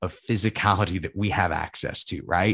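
At a moderate pace, a man with an ordinary speaking voice and a fairly low pitch is heard in a very clean recording with a silent background and a dry, close sound with no echo. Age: 20s. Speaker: jiu-jitsu podcast host and instructor. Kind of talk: solo podcast monologue. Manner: casual, with frequent fillers.

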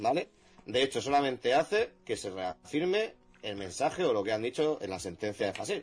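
At a medium pitch, this man's voice makes very wide pitch swings. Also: moderate pace. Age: 20s. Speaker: jurist. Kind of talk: casual chat. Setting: live stream.

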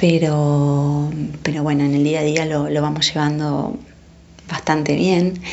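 Amid noticeable background noise and audible room echo, a woman with a very deep, low voice speaks at a fairly slow pace, with fairly even intonation and very even loudness. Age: 40s. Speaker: mother. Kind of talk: testimony.

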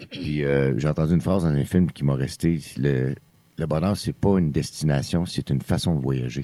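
A man's voice sits very deep and low in pitch. Its tone comes across dark and mellow. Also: ordinary pitch variation, moderate pace. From Quebec, Outaouais region. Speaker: country singer-songwriter. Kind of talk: casual interview. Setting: studio, around a table.

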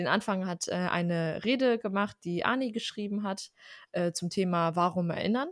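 A woman of medium pitch talks at a moderate pace with ordinary pitch variation, in an ordinary speaking voice. The recording is very clean, with a silent background. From Germany, Armenian family. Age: 20s. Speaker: podcast co-host. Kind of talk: casual chat.

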